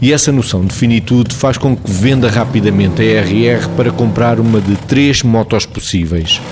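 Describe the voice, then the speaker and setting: Over noticeable background noise, a man with a European Portuguese accent speaks at a medium pitch and a moderate pace with ordinary pitch variation. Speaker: moderator. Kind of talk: scripted narration. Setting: stage with audience.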